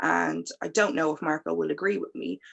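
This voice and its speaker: In an Irish accent, a woman speaks at a fairly slow pace over a quiet background. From Ireland. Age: 30s. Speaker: panel guest. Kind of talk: panel discussion.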